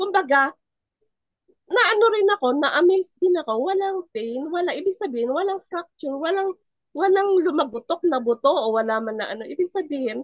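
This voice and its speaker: A woman talks in an animated tone with very wide pitch swings. Her pace is moderate, and the sound is dry and close with no echo. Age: 60s. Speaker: testimonial speaker. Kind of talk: testimony.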